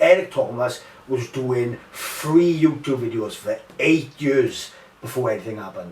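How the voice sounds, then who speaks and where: A man's fairly high voice at a fairly slow pace, with ordinary pitch variation, big swings in loudness and noticeable background noise. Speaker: MMA fighter and mental health podcaster. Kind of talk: casual chat. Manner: animated.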